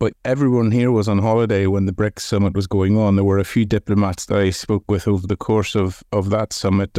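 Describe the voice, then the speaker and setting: A man speaks in a fairly low pitch with a dark, mellow tone and flat, monotone intonation. The sound is dry and close with no echo, over a quiet background. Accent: Irish. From Ireland. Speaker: news correspondent. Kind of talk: interview. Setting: remote call.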